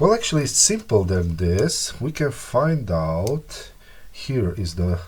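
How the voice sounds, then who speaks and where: A man with a fairly low pitch and a non-native accent speaks at a very slow pace. His voice is somewhat breathy and his pitch swings very widely. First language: not English. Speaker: repair hobbyist youtuber. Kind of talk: tutorial. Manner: halting, many fillers.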